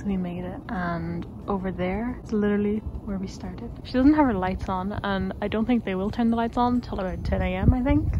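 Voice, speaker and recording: A woman talks at a moderate pace. Room echo is audible, and there is noticeable background noise. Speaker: travel vlogger. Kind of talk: casual vlog talk to camera. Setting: outdoors walking up a hill. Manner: quiet, hushed.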